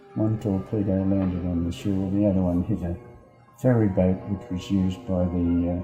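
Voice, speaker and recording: Over music in the background, a man with a very deep, low pitch speaks at a moderate pace with fairly even intonation. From Australia, Sydney. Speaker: war veteran. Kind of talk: interview, recounting memories.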